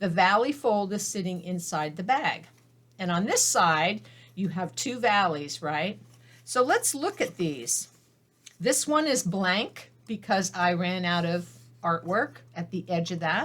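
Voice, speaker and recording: A woman with an unremarkable speaking voice talks at a fairly slow pace and medium pitch. Her intonation is lively. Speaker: papercraft instructor. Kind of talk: tutorial.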